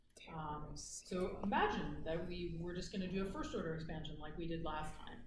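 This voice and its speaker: A woman speaks at a moderate pace in a fairly low pitch. Noticeable background noise runs underneath. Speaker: university lecturer. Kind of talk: lecture. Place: hall. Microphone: camera far.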